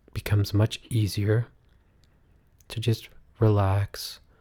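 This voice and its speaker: A man's dark, mellow, somewhat breathy voice, soothing and calm in tone, at a fairly slow pace. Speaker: meditation guide. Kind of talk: guided meditation. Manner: slow, soothing, calm; gentle, drawn-out, hypnotic cadence with audible breaths and sighs.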